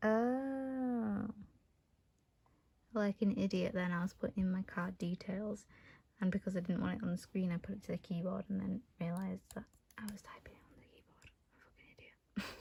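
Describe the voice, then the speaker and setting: Soft-spoken and somewhat breathy, a woman with a medium pitch talks at a moderate pace with fairly even intonation, big swings in loudness, and long, frequent pauses. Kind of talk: casual unboxing talk to camera. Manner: relaxed, laid-back.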